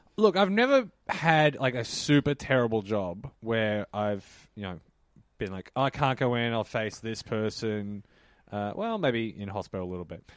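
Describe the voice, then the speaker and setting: Speaking with an Australian accent, a man of medium pitch shows ordinary pitch variation and big swings in loudness. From Melbourne, Australia. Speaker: comedian. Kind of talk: casual comedic chat. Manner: fast talker.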